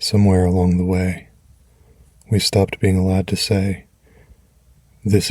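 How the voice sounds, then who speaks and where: A man speaks with a gentle, warm tone at a fairly low pitch, his intonation monotone and flat. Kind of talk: comfort affirmations.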